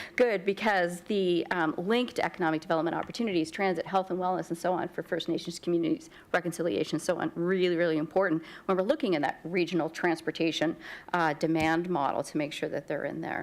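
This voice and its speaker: A woman with a fairly low pitch talks at a very fast pace. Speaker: municipal councillor. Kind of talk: committee meeting questioning.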